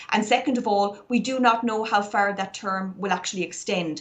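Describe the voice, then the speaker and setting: With an Irish accent, a woman speaks at a fairly quick pace. Her medium-pitched voice holds fairly even intonation. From Ireland, Galway. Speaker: barrister. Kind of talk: interview.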